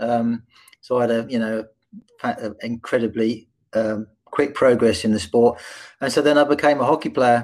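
Speaking at a moderate pace in an English accent, a man with a medium pitch keeps his intonation fairly even and leaves long, frequent pauses. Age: 50s. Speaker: hockey coach and diversity consultant. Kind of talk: interview.

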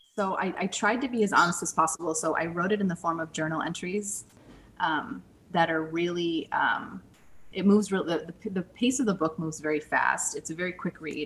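This is a plain, everyday voice. A woman with a fairly low pitch talks at a fairly quick pace with ordinary pitch variation. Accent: American. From US Midwest, St. Louis. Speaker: author and former actor. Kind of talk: interview.

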